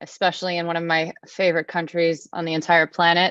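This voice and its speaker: A woman with an American accent and a fairly low pitch is captured in a dry, close sound with no echo. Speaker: nonprofit representative presenting at a conference. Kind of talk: conference presentation. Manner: fast.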